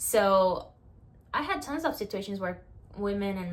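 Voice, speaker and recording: Her pitch is medium and varies in an ordinary way as a woman talks at a fairly slow pace. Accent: strong Brazilian. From Brazil. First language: Portuguese. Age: 20s. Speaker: vlogger. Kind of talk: casual talk to camera.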